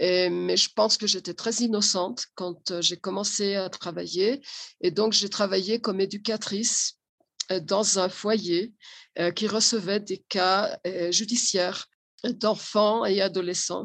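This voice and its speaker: A woman at medium pitch, very slow pace, fairly even intonation. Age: 60s. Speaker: social educator and family therapist. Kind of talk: interview.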